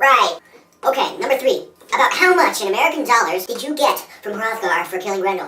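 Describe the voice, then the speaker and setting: A fairly high-pitched, put-on character voice at a fairly quick pace. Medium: comedy sketch. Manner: brisk, sarcastic.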